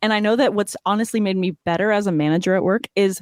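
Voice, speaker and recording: Speech comes at a fairly quick pace in a Californian accent. The sound is dry and close, with no echo. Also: woman. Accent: General American (Californian). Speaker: fantasy football podcaster. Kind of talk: podcast interview.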